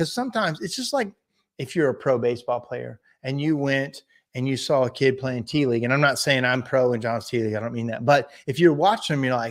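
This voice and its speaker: With a slight Southern US accent, a man speaks at medium pitch with ordinary pitch variation in a very clean recording with a silent background. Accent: slight Southern drawl. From Indiana, US Midwest. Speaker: business coach and livestream host. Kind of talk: live stream chat reading viewer comments. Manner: casual, halting.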